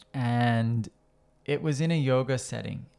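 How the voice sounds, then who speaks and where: The voice moves very slowly with ordinary pitch variation, on a very clean recording with a silent background. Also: man. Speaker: yoga teacher and podcast host. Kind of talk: casual podcast conversation. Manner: thoughtful, hesitant with filler words.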